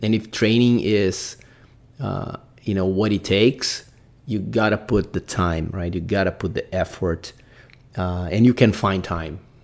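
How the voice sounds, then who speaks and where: A man with a Brazilian accent talks at a fairly slow pace, his fairly low pitch moving with ordinary variation. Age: 40s. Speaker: podcast host, amateur mountaineer. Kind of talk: solo podcast monologue. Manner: hesitant, many fillers.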